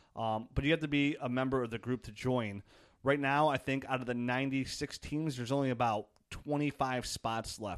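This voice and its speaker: At a fairly quick pace, an unremarkable speaking voice with ordinary pitch variation is heard, the sound dry and close with no echo and the background quiet. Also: man. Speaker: fantasy football podcast host. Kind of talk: casual chat.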